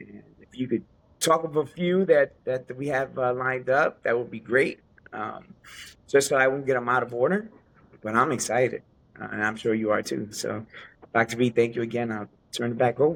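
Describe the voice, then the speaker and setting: A man speaks at a medium pitch with an American accent and ordinary pitch variation. His pace is moderate, and his loudness swings widely. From US Northeast, New Jersey / New York City. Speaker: podcast co-host, retired Navy veteran. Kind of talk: casual podcast introduction. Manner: halting, many fillers.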